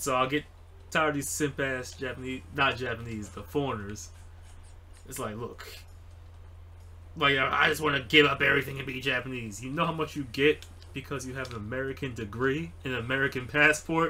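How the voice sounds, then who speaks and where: Long, frequent pauses break up a man's fairly quick speech, which shows big swings in loudness and ordinary pitch variation. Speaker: foreigner living in Japan. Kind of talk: casual conversation between friends, ranting. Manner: irritated, ranting. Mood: irritated, ranting. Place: home room.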